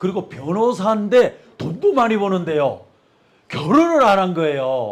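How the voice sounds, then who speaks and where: The man's pitch swings very widely. He keeps to a fairly slow pace. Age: 60s. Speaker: pastor. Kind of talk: sermon. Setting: church.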